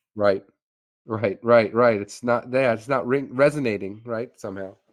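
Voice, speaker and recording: A man with an ordinary speaking voice and medium pitch. His intonation stays fairly even at a moderate pace. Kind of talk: casual chat.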